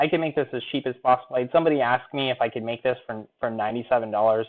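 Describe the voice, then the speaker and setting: A man at a medium pitch with ordinary pitch variation. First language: not English. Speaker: online marketing coach. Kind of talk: webinar sales pitch. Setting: live stream.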